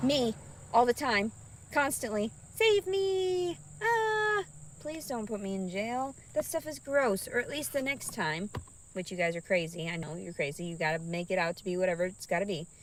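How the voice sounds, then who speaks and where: An animated tone with very wide pitch swings at a moderate pace, over noticeable background noise. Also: woman, fairly high pitch for a woman. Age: 30s. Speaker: vlogger. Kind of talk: casual chat.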